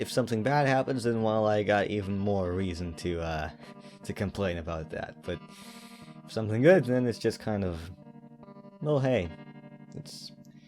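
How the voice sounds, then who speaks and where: A man's fairly low voice with lively intonation, a moderate pace, long and frequent pauses, and music in the background. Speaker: animator. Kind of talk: personal reflective talk to camera. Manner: hesitant, with stutters and pauses.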